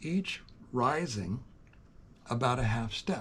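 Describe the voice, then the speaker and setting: Somewhat breathy at a medium pitch, a man talks very slowly with ordinary pitch variation. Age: 70s. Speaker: youtuber, farm owner. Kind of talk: casual monologue.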